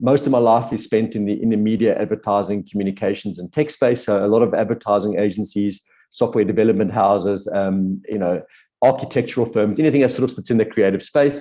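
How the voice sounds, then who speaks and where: Speaking at a very fast pace, a man with a fairly low pitch, ordinary pitch variation and a dark, mellow tone is heard over a quiet background. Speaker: business coach. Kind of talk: webinar workshop.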